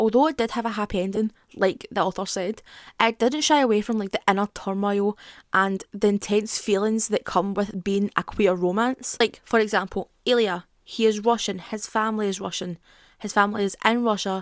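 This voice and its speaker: A woman with a Scottish accent talks at a moderate pace and medium pitch, her intonation fairly even. The very clean recording has a silent background and a dry, close sound with no echo. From Scotland. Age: 20s. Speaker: YouTuber. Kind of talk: casual talk to camera, TV show commentary.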